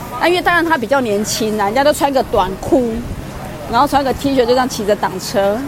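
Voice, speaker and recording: A woman speaks very fast with a high pitch and lively intonation, over noticeable background noise and audible room echo. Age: middle-aged. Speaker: co-presenter. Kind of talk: casual chat.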